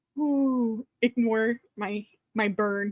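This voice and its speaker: A woman's somewhat breathy voice is heard in a dry, close recording with no echo. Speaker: mystery author. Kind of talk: casual chat. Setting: live stream. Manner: fast; animated.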